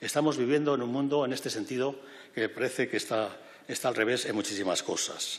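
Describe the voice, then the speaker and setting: A man's intonation stays fairly even while he speaks very fast. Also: medium pitch for a man. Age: 70s. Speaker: president of refugee aid organization, former university rector. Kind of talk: public speech. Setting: parliament event hall with audience. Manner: halting, with self-corrections.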